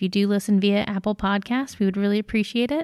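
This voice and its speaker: A normal speaking voice from a woman at a fairly quick pace, fairly even in intonation, in a very clean recording with a silent background and a dry, close sound with no echo. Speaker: podcast announcer. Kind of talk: scripted narration.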